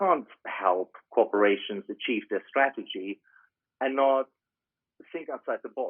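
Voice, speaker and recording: With a German accent, a man talks at a fairly slow pace. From Germany. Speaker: business consultant. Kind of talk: interview.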